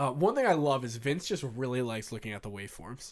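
At a moderate pace, the speaker uses an ordinary speaking voice. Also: man. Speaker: podcast host. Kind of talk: casual chat.

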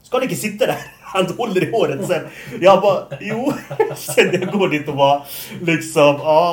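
Noticeable background noise sits under this recording. A man speaks in a high pitch. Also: ordinary pitch variation, moderate pace. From Norway, moved to Sweden at 12. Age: 20s. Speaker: podcast host. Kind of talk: casual chat.

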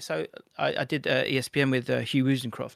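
The recording is very clean, with a silent background and a dry, close sound with no echo. A man of medium pitch speaks with fairly even intonation. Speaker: football YouTuber and presenter. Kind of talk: casual interview. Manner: articulate, clear.

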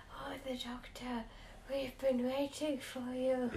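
Put-on character voice from a woman, pitched high and delivered at a fairly slow pace. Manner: creepy, sinister.

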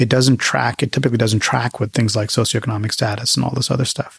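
Somewhat breathy in quality, the voice keeps a fairly even intonation. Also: man. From Tamil Nadu, India. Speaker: cardiologist and scientist, biotech CEO. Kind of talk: casual interview chat. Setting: office interview.

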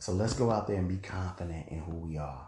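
A man speaks with a very deep, low pitch. His tone is dark and mellow, and somewhat breathy. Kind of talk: solo monologue podcast.

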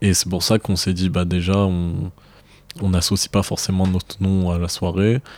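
A man's very deep, low voice, monotone and flat, at a moderate pace with very even loudness. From Marseille, southern France. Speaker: rapper and student. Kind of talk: casual interview. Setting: at the guest's home.

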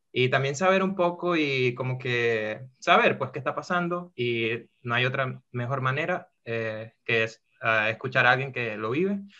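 A man with a Venezuelan accent speaks at a fairly slow pace with hardly any pauses. His pitch varies in an ordinary way. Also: medium pitch for a man. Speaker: podcast host. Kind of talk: casual podcast chat.

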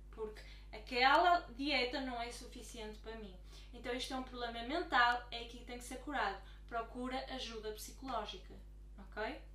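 In a European Portuguese accent, a woman speaks at a moderate pace with big swings in loudness. Room echo is audible, and background noise is noticeable. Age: 20s. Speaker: life coach. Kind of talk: YouTube talk to camera.

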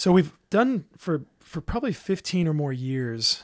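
A man with a Californian accent speaks at a fairly high pitch. The background is quiet. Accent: Californian American English. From Southern California. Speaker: marriage ministry leader. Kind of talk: casual interview chat.

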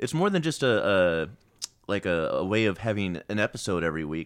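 On a very clean recording with a silent background, a man with an American accent talks at a fairly quick pace in a fairly low, plain, everyday voice. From Virginia. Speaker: comedian and improviser. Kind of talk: casual chat.

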